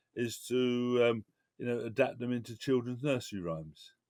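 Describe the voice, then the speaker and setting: Recorded very cleanly against a silent background, a man with a medium-pitched voice and a Cockney accent speaks at a moderate pace. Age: 60s. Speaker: cultural campaigner. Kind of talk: interview. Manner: halting.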